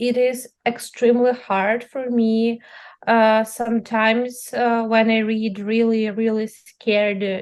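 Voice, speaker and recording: Speaking very slowly, a woman uses a fairly high pitch and a monotone, flat intonation. She has a Ukrainian accent. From central-east Ukraine. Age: young. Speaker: journalist. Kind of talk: interview. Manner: halting, many fillers.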